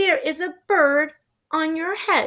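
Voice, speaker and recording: A woman performs a put-on character voice at an extremely high pitch. Her voice is raised and projected. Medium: read story. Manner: calm, plain.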